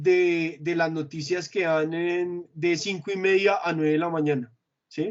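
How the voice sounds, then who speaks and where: Speaking at a moderate pace, the man has a high pitch. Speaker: corporate trainer presenting consumer trends. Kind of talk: internal work presentation. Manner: hesitant, many fillers.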